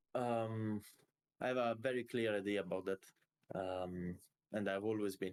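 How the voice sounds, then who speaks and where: This man speaks at a fairly low pitch with fairly even intonation and very even loudness. He leaves long, frequent pauses. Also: fairly slow pace. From Italy. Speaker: esports player. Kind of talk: interview. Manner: halting.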